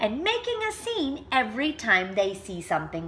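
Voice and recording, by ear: Someone reads aloud here in a natural voice.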